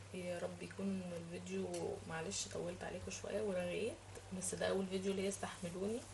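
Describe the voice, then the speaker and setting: There is noticeable background noise and audible room echo around a woman speaking. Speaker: cooking and lifestyle vlogger. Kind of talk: casual vlog monologue to viewers. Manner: halting, with many fillers.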